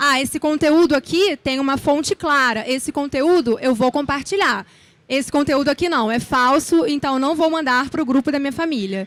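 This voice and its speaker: At a moderate pace, a woman with a high pitch talks with ordinary pitch variation. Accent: Rio de Janeiro. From Brazil, Rio de Janeiro. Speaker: speaker, journalist and lecturer. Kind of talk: conference talk. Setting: stage with audience.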